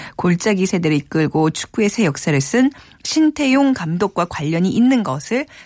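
A woman at medium pitch speaks very slowly, her pitch swinging very widely. The sound is dry and close with no echo, in a very clean recording with a silent background. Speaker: radio host. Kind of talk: radio show hosting. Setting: studio.

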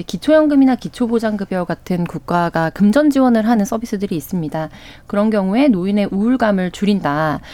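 Her intonation is lively and her pace fairly quick. The woman speaks at a medium pitch with a dark, mellow tone. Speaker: news panelist. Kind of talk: radio news discussion. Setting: radio studio.

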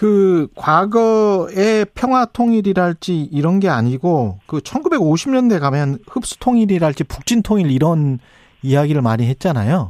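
The delivery is very slow, with very wide pitch swings. Loudness stays very even, and the sound is dry and close with no echo. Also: man, high pitch for a man. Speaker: radio host and journalist. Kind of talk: radio current affairs show. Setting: studio.

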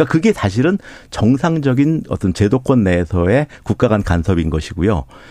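Dark and mellow, the man's medium-pitched voice makes very wide pitch swings at very even loudness. The background is quiet. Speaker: nuclear engineering professor. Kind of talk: expert interview. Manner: halting, frequent restarts.

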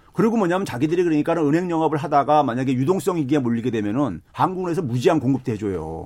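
A man speaks at a very fast pace with hardly any pauses. His intonation is lively. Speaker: economics professor. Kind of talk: casual chat.

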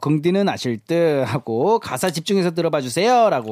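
Dry and close with no echo, a man's high-pitched voice moves at a fairly slow pace through very wide pitch swings. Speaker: music corner guest. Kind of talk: casual chat. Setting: studio.

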